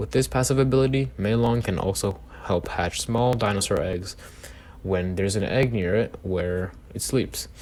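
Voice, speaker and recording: Using ordinary pitch variation, a man speaks at a moderate pace in a fairly low voice. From outside the US. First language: not English. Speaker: gaming YouTuber. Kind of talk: reading aloud with commentary. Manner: halting.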